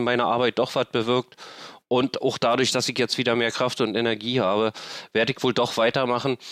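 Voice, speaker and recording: The intonation is monotone and flat. The sound is dry and close with no echo, on a very clean recording with a silent background. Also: man. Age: 50s. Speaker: homelessness activist and podcaster. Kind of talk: interview. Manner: halting, many fillers.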